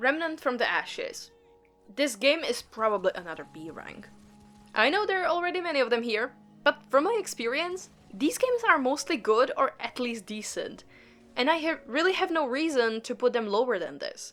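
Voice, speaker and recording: With music in the background, a woman with a non-native accent speaks at a high pitch, her voice swinging very widely up and down. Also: moderate pace. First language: not English. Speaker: gaming YouTuber. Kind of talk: casual commentary video. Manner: casual, rambling.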